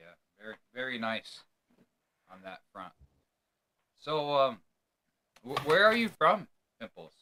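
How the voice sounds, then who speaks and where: A bright, sharp voice with an American accent at a moderate pace, with very wide pitch swings, big swings in loudness and long, frequent pauses. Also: man. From New York. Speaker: podcast host. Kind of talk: casual interview.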